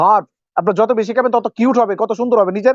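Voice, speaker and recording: A man with a high pitch. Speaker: supplement distributor. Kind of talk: sales pitch.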